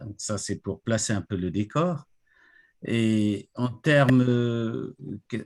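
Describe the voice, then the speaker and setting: Speaking very slowly with long, frequent pauses, a man at medium pitch varies it in an ordinary way, recorded very cleanly with a silent background and a dry, close, echo-free sound. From Congo-Brazzaville (Pointe-Noire). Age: 60s. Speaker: retired IT director, association president. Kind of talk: interview.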